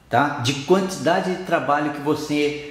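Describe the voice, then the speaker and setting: Through noticeable background noise and audible room echo, a man with a fairly high pitch speaks at a fairly slow pace. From Brazil. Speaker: sports training coach. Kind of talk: lecture.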